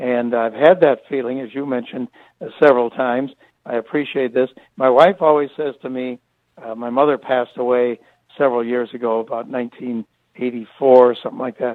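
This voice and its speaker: A man with an ordinary speaking voice talks at a fairly quick pace and medium pitch, his intonation fairly even but his loudness swinging widely. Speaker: retired sports broadcaster. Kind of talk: interview answer. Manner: conversational, warm, reflective.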